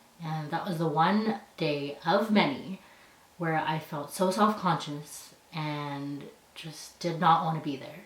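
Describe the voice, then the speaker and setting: With a Canadian accent, a woman speaks at a very deep, low pitch with ordinary pitch variation, over noticeable background noise and audible room echo. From Canada. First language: Punjabi. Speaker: university student. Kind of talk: personal storytelling.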